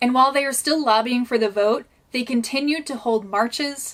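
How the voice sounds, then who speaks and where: With ordinary pitch variation, a woman's voice sits at a high pitch. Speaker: historian and history content creator; actor. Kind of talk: history educational narration to camera.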